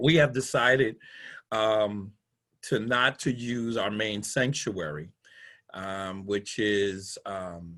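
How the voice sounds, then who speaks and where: A man talks very slowly in a fairly low voice with a bright, sharp tone and ordinary pitch variation, leaving long, frequent pauses. The background is quiet. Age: 60s. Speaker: pastor. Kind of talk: casual chat. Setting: video call.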